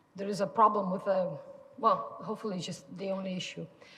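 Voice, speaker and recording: Audible room echo and noticeable background noise surrounding a woman's speech. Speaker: orthopedic bone researcher. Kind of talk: lecture. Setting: lecture room with audience. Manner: halting, many fillers and restarts.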